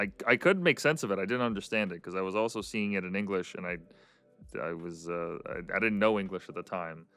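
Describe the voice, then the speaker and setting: Speech with ordinary pitch variation comes at a fairly quick pace. Music sounds in the background. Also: man, fairly low pitch for a man. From Canada. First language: Russian. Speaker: podcast host. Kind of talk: casual interview chat. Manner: hesitant, many fillers and repeats.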